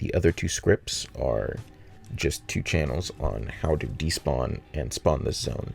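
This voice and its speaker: Fairly slow speech from a man, music playing in the background. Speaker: game level designer. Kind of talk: tutorial voice-over narration.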